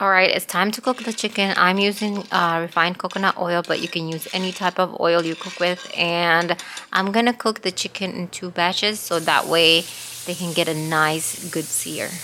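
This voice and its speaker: A woman with a non-native accent speaks at a fairly low pitch and a moderate pace. Her intonation is fairly even, with noticeable background noise around her. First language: not English. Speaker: cooking channel host. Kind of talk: cooking tutorial.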